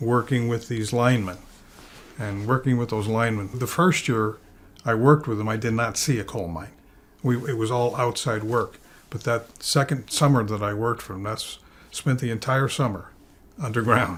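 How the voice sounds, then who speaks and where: Using an unremarkable speaking voice, a man of medium pitch talks at a moderate pace with ordinary pitch variation. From Nanticoke, Pennsylvania. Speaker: storyteller, former coal mine laborer. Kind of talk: interview answer.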